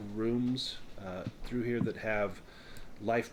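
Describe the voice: The clip is plain reading aloud. Nothing else stands out in the delivery.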